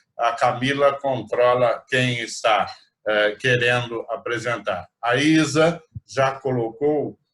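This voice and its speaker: This man's intonation stays fairly even. He talks very slowly. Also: medium pitch for a man. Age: 60s. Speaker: rotary club president. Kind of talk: virtual meeting chat. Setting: video call.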